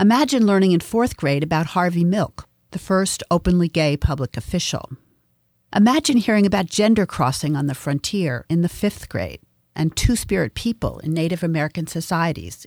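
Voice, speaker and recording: A woman with a normal speaking voice and fairly low pitch talks at a moderate pace with lively intonation. The very clean recording has a silent background and a dry, close sound with no echo. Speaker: podcast host and feminist studies professor. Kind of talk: scripted narration.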